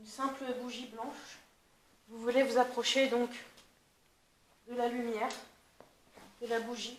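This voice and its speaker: A soft-spoken woman talks fairly slowly in a high voice with flat, monotone intonation, her loudness swinging widely. Long pauses come often, and the room echoes audibly. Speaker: paranormal investigator. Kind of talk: paranormal investigation on location. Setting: inside a cave.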